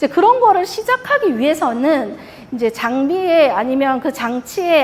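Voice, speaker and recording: A woman speaks at a moderate pace with very wide pitch swings. Noticeable background noise runs underneath. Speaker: industrial automation product manager presenting. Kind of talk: conference presentation.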